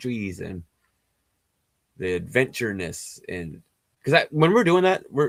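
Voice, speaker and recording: His pitch swings very widely as this man speaks. The sound is dry and close, without echo. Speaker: spiritual healer. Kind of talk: casual chat. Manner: rambling fast speech with many fillers.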